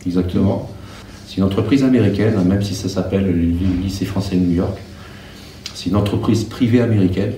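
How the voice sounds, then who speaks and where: A man speaks very fast with fairly even intonation, his voice carrying audible room echo and noticeable background noise. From France. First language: Russian (speaking French). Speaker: schoolteacher. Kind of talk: interview. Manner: hesitant.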